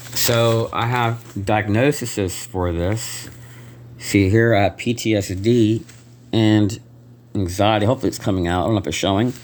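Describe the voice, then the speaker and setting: A man talks in a soft-spoken way. His intonation stays fairly even. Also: fairly low pitch for a man, moderate pace. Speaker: vlogger. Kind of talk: personal video complaint. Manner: halting.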